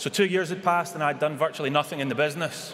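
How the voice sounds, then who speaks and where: There is noticeable background noise as a man with a Scottish accent talks at a very fast pace in a fairly high pitch. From Scotland. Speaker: businessman. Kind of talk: acceptance speech at a convention.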